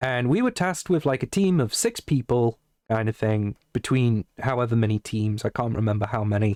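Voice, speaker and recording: Recorded very clean with a silent background and a dry, close sound with no echo, a man with an English accent speaks at a moderate pace and medium pitch, with very even loudness and ordinary pitch variation. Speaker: streamer. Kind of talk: casual chat. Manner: clear.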